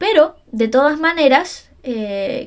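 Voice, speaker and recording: The woman's pitch moves with ordinary variation as she speaks. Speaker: psychologist and podcast host. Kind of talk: solo podcast monologue. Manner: fast.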